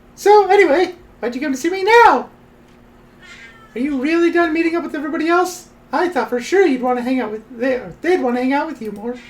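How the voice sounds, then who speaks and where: A woman talks at a very fast pace in a put-on character voice. Her pitch is high, and her intonation is lively. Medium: virtual streamer.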